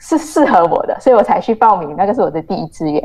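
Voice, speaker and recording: A woman's fairly quick delivery with very wide swings in pitch. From Malaysia. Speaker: journalist. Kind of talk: interview.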